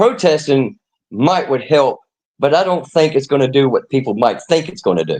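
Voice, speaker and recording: A man talks at a moderate pace in a fairly high pitch, with a plain, everyday voice. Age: 60s. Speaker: caller on a live stream. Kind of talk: casual debate.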